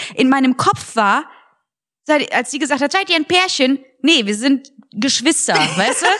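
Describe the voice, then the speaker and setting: A woman with a high, bright and sharp voice speaks in an animated tone with lively intonation. Her pace is fairly slow, with long, frequent pauses. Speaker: podcast co-host, comedian. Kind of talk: casual chat. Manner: animated, laughing often.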